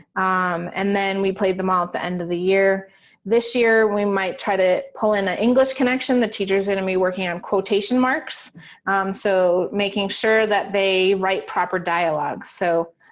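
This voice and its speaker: A woman with an unremarkable speaking voice, medium in pitch, fairly even in intonation and moderate in pace, against a quiet background. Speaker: teacher. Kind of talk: workshop presentation.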